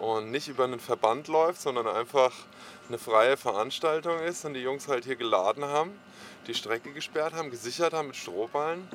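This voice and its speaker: A man talks at a moderate pace in a normal speaking voice. His pitch sits in the medium range with ordinary variation. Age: 40s. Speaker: helmet maker and skater. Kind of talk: casual interview.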